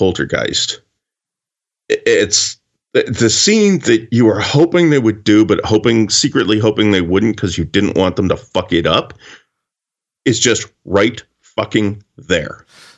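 A man with a normal speaking voice, fairly low in pitch and fairly slow in pace. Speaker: podcast co-host. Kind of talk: casual chat.

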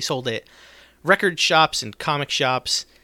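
A man with an American accent, a fairly high pitch, a bright, sharp tone and ordinary pitch variation, in a dry, close sound with no echo. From US, South Jersey. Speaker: podcast host. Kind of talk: casual chat.

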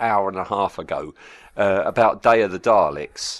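A man talks with a British accent and vocal fry. The background is quiet. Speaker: podcast co-host. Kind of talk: casual chat. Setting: remote audio call.

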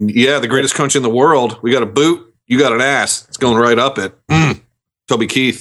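Moderate pace and fairly even intonation from a man at medium pitch. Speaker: podcast panelist. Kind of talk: casual chat. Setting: video call. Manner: halting, repeats words.

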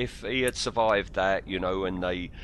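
The speaker has an English accent. The pitch rises and falls in an ordinary way. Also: man. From England. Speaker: film podcast co-host. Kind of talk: casual chat. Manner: halting.

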